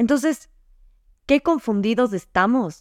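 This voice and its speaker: A woman's lively intonation comes across on a very clean recording with a silent background. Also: dry, close sound with no echo. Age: 20s. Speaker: podcast host. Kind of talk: casual monologue. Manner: animated.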